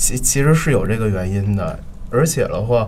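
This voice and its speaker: Through noticeable background noise, a man at medium pitch talks at a very slow pace with lively intonation. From Beijing. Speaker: theatre photographer. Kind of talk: casual interview.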